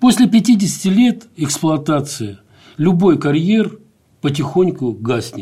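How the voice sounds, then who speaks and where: Very wide swings in pitch mark a dark, mellow tone. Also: man. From grew up in Azerbaijan, Dagestan and Ukraine. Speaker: architect and educator researching the Arctic. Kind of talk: interview. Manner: halting, many fillers and restarts.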